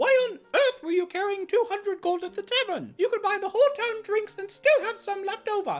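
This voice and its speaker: A woman's extremely high-pitched voice at a moderate pace, with hardly any pauses. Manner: imperious, exasperated, calculating.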